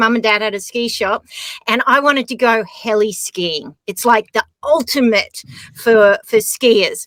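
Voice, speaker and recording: In a dry, close recording with no echo, a woman speaks at a fairly slow pace, with a fairly high pitch, ordinary pitch variation and a bright, sharp tone. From Australia. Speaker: skier and adventurer. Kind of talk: casual chat.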